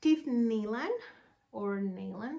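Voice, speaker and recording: Speaking in a Spanish accent, a woman uses a fairly high pitch. Her pace is very slow. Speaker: podcast host, yarn dyer and knitter. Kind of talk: casual vlog chat. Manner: hesitant, with many fillers.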